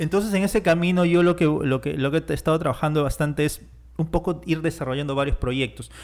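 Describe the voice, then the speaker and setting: The audio is very clean, and the background is silent. His voice is fairly high-pitched. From Peruvian Amazon, Iquitos. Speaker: writer and filmmaker. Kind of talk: interview. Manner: halting with many repetitions.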